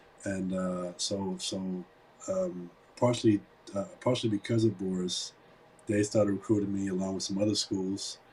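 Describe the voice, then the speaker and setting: With a German accent, a man talks at a fairly low pitch in a flat monotone, leaving long, frequent pauses over noticeable background noise. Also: moderate pace. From Germany. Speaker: entrepreneur and investor. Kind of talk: interview. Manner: halting, many repetitions.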